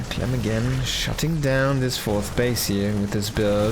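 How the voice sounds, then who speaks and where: With a German accent, a man speaks at a fairly slow pace in a fairly low pitch with very wide pitch swings, amid audible room echo and noticeable background noise. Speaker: esports caster. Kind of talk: live commentary. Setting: live stream. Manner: animated.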